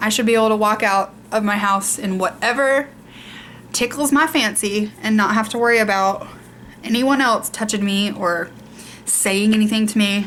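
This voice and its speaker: Speaking at a moderate pace with a Southern US accent, a woman uses fairly high pitch and fairly even intonation, leaving long, frequent pauses. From US South. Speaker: beauty vlogger. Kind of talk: casual chat.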